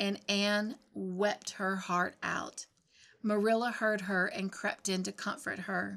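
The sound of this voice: The intonation holds fairly even. It's an unforced reading voice.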